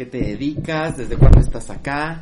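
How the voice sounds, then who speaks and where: Against noticeable background noise, a man talks in a fairly high pitch at a moderate pace. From Mexico. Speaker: podcast host. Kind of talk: casual chat.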